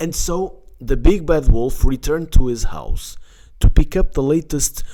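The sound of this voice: Reading in an unforced voice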